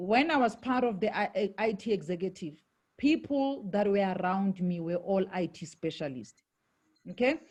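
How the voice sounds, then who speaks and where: Her intonation is lively. The woman sounds somewhat breathy. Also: medium pitch for a woman, moderate pace. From South Africa, Johannesburg. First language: Shangaan (Xitsonga). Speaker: network marketing leader, former IT executive. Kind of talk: interview.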